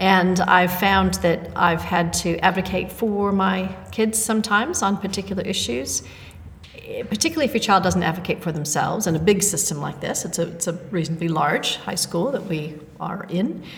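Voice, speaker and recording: A woman speaks at medium pitch and a moderate pace. Her pitch varies in an ordinary way, with noticeable background noise behind her. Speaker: podcast co-host, part-time teacher. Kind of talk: casual chat.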